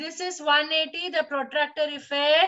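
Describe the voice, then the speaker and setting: Speaking in an Indian accent, a woman uses a raised, projected voice with a bright, sharp tone and an extremely high pitch. Her pace is fairly slow and her intonation fairly even. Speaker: teacher. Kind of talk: lecture. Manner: slow, steady.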